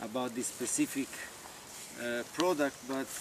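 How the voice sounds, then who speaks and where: Noticeable background noise sits behind a man's voice. He speaks at medium pitch with ordinary pitch variation. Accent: Italian. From Italy. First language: Italian. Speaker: olive farmer. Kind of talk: informal talk to visitors. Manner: halting, many fillers.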